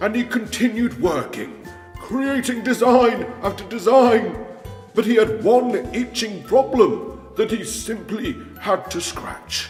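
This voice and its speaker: Over clear background music with a slight echo, a man in a put-on character voice speaks fairly slowly at a high pitch. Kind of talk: comedic story narration. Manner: playful, theatrical.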